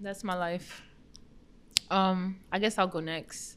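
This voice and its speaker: On a very clean recording with a silent background, a woman with an American accent and an unremarkable speaking voice talks at a fairly slow pace, her medium pitch and intonation fairly even. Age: 20s. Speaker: returning guest. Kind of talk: casual chat.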